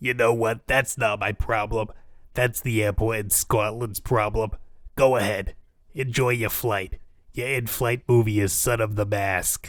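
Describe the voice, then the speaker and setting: In a raspy, put-on character voice of medium pitch, a man talks at a moderate pace on a very clean recording with a silent background. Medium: audio drama. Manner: deadpan, bureaucratic.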